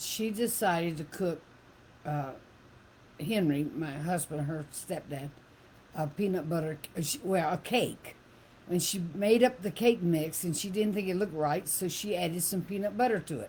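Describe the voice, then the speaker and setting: Somewhat breathy, a woman speaks at a moderate pace and a fairly low pitch, her tone dark and mellow, with ordinary pitch variation. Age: 70s. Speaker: host's mother. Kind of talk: casual chat.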